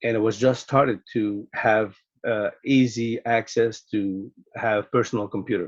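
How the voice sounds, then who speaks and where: With a Quebec accent and monotone, flat intonation, a man speaks at a fairly slow pace and medium pitch in a dry, close sound with no echo. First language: French. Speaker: sport psychologist. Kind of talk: podcast interview.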